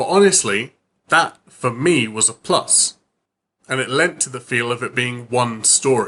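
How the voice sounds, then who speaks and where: A man with a British accent talks fairly slowly at a medium pitch, his tone bright and sharp and his pitch varying in an ordinary way. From United Kingdom. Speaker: book reviewer. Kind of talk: casual talk to camera.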